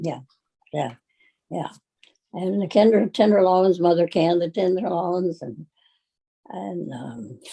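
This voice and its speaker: Her voice fairly low, dark, and mellow with vocal fry, a woman speaks at a fairly slow pace with lively intonation and long, frequent pauses. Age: 80s+. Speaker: retired farm woman. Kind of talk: interview answer.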